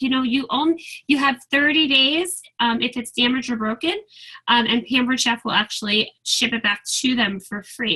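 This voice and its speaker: A woman projects a raised, high-pitched voice with a bright, sharp tone. Her intonation is lively. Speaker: direct sales team leader. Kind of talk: training call. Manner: animated.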